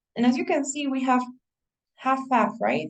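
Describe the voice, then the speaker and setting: This woman speaks with a Spanish accent. Her pace is moderate. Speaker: English teacher. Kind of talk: online class. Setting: video call. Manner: halting.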